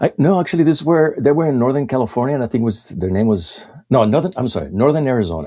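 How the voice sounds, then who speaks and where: A man speaks very fast in a Mexican accent. His pitch swings very widely. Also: medium pitch for a man. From Mexico. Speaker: illustrator. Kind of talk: casual interview chat. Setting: podcast recording. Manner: halting, repeats words.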